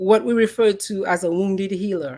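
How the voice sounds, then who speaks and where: A fairly slow woman's voice of medium pitch with a slight Dominican accent and ordinary pitch variation, on a very clean recording with a silent background. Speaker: psychologist and podcast host. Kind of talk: podcast talk, presentation rehearsal.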